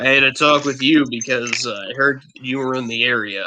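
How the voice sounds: Put-on character voice from a man, medium-pitched, at a moderate pace.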